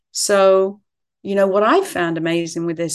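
A woman speaks with an English accent. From England. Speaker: author. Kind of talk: interview.

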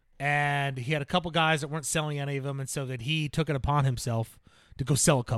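Fairly even intonation runs through very fast speech in a very clean recording with a silent background. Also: man, fairly high pitch for a man. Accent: American. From New Jersey. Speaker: self-improvement podcast co-host. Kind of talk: casual chat. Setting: studio.

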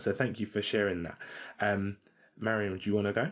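In a British accent, a man speaks at a fairly quick pace with a fairly low pitch. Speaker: podcast co-host. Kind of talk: casual chat.

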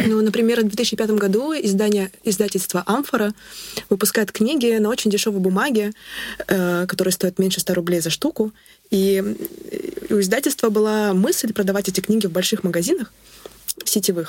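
A woman speaks at a moderate pace and medium pitch with ordinary pitch variation. Her loudness stays very even, and she takes long, frequent pauses. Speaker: literature student researcher. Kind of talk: interview.

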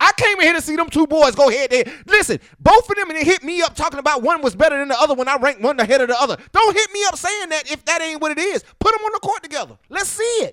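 Raised, projected, animated speech at a very fast pace with hardly any pauses, the sound dry and close with no echo. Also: man, extremely high pitch for a man. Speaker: basketball podcast host and coach. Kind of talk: casual chat.

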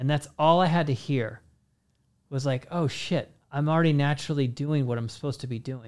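With a plain, everyday voice, a man talks at a fairly quick pace, fairly high in pitch and fairly even in intonation. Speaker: podcast host. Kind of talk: casual interview chat.

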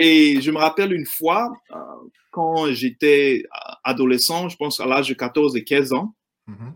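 Fairly high pitch from a man, with ordinary variation in pitch. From Ivory Coast (Abidjan). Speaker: insurance agent. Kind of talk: interview. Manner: hesitant, with many fillers.

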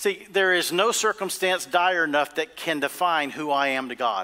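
Speaking at a moderate pace, the man has a high pitch, a bright, sharp tone and ordinary pitch variation. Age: 50s. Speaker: pastor. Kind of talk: sermon. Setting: church with congregation. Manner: animated, emphatic preacher in full flow, repeating key lines for emphasis; call-and-response, urging the congregation to say amen.

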